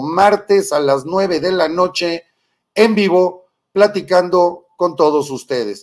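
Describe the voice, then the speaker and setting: This man has a high-pitched voice with ordinary pitch variation. The background is quiet. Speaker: political live-stream host. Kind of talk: political commentary.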